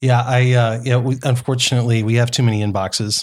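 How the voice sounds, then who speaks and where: This man has a plain, everyday voice at a medium pitch, with fairly even intonation on a very clean recording with a silent background. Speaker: startup entrepreneur. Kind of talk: casual interview chat. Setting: podcast studio at a conference.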